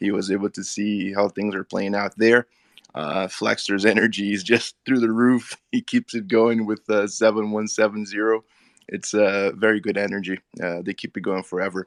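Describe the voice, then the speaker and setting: A man's fairly low, monotone, flat voice at a moderate pace, dry and close with no echo, over a quiet background. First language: Portuguese. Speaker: crypto community member. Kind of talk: casual group audio chat.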